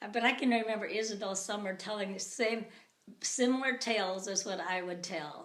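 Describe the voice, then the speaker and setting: Audible room echo accompanies a woman of medium pitch who speaks at a fairly quick pace with ordinary pitch variation. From US Upper Midwest, rural Minnesota. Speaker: interviewee. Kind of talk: casual chat.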